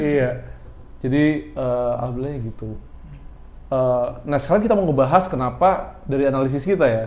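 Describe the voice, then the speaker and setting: A man's medium-pitched voice at a fairly quick pace, with ordinary pitch variation, long and frequent pauses, and audible room echo. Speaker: podcast host who runs a shop. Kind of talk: casual chat.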